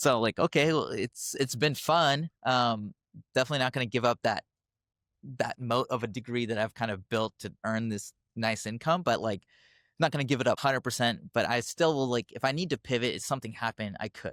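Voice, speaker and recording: Heard in a very clean recording with a silent background, a man with a normal speaking voice at medium pitch talks at a fairly quick pace with ordinary pitch variation. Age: 30s. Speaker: physician turned car wash owner. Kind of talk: casual interview.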